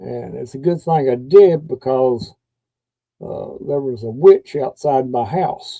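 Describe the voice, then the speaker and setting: A man with a Kentucky accent at a fairly slow pace, the sound dry and close with no echo. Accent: Kentucky Southern US. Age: 60s. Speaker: YouTube live streamer. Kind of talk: casual live stream chat. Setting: live stream. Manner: halting, with many fillers.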